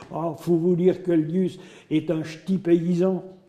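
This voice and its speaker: A man speaks in a high voice at a very slow pace. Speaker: storyteller. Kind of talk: folk tale told in regional dialect.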